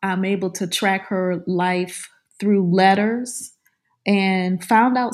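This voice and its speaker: In a New Orleans accent, a woman talks at medium pitch with monotone, flat intonation on a very clean recording with a silent background. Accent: New Orleans Southern American. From US South, New Orleans area. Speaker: author and professor. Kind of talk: interview.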